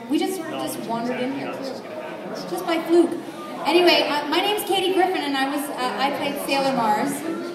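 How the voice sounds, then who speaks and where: A woman at a fairly quick pace with ordinary pitch variation, audible room echo and crowd noise in the background. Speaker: voice actor panelist. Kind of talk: panel self-introduction. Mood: jokey, relaxed. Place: hall.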